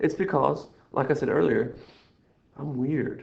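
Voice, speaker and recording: This is a man speaking. His voice has vocal fry. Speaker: math teacher. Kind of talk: recorded lesson walkthrough. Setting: screen recording. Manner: rambling, playful; fast.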